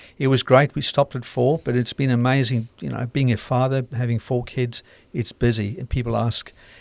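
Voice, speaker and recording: Speaking at a fairly quick pace with fairly even intonation, a man with a South African accent uses a medium pitch in a dry, close sound with no echo. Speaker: radiation oncologist and author. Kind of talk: casual interview.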